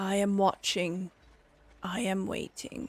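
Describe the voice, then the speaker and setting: In a put-on character voice, the speaker holds a middle pitch at a fairly slow pace. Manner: eerie, calm, watchful.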